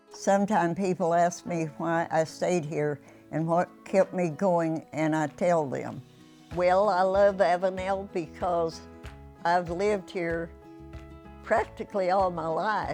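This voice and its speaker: Music plays in the background as a woman talks at a fairly slow pace. Her voice is fairly low, with fairly even intonation. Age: 80s+. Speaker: local resident storyteller. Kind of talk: documentary narration of local history.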